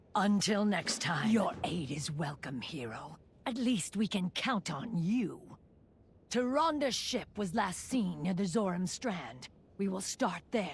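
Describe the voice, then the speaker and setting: At a fairly slow pace, a female-sounding voice of medium pitch for a woman performs a put-on character voice. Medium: video game. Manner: solemn.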